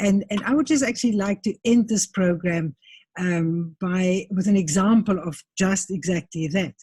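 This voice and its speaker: In a South African accent, a woman speaks at a medium pitch and moderate pace, her voice dark, mellow and somewhat breathy with ordinary pitch variation. The sound is dry and close, with no echo. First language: Afrikaans. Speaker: interviewer. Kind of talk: interview.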